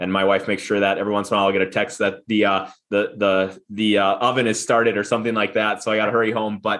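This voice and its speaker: In a slight Minnesota accent, the speaker talks at a very fast pace over a quiet background. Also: man. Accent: Upper Midwest (Minnesota) accent, slight. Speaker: business founder and CEO. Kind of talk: podcast interview. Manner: halting, many repeated words.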